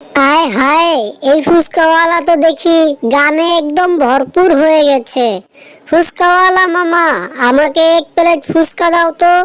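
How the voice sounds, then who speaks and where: An extremely high-pitched, cartoonish character voice speaks at a fairly slow pace. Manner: playful, teasing.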